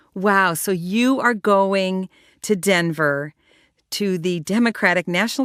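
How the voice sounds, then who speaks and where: On a very clean recording with a silent background, a woman has an ordinary speaking voice. Her pitch is medium, with ordinary pitch variation. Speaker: podcast host. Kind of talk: podcast interview.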